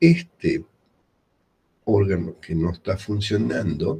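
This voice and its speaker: A man's fairly low, dark, mellow voice at a fairly slow pace. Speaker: medical lecturer. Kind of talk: lecture. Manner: quiet.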